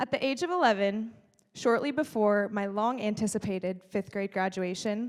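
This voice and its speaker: A normal speaking voice with an American accent moves at a moderate pace with ordinary pitch variation in a very clean recording with a silent background. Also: woman. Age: 20s. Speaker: speaker. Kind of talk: keynote speech. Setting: stage with audience.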